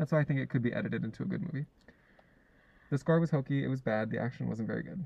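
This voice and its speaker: The voice is somewhat breathy, with ordinary pitch variation and a very fast pace. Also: man, medium pitch for a man. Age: 20s. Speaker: podcast co-host. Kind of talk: casual chat.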